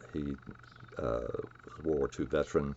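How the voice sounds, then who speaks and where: A man talks with a Southern US accent. Noticeable background noise can be heard. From US South, North Carolina (near Raleigh). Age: 70s. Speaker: chemist. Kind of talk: lecture. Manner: halting.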